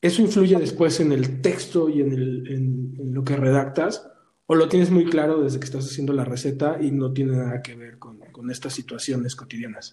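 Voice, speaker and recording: With hardly any pauses and at a moderate pace, a somewhat breathy, dark and mellow voice shows ordinary pitch variation over audible room echo. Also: man, fairly high pitch for a man. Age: 40s. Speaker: podcast host. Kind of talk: casual interview. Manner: halting, with frequent repetitions.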